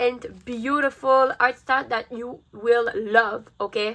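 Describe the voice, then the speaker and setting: Using a raised, projected voice, a woman speaks at a fairly slow pace. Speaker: art youtuber. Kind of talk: tutorial. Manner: casual, upbeat.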